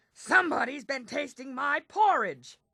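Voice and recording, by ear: A put-on, growling character voice at a high pitch and a moderate pace.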